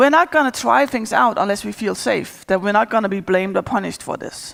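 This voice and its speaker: Very wide pitch swings and vocal fry fill a woman's speech in a Danish accent at a fairly quick pace, in a very clean recording with a silent background. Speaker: agile coach. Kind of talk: conference talk.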